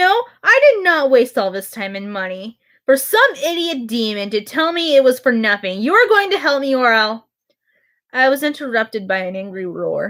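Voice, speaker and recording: Recorded very cleanly with a silent background, a woman speaks in a high voice. Her pitch swings very widely at a moderate pace. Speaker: streamer reading stories. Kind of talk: reading aloud. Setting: live stream. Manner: stuttering, halting.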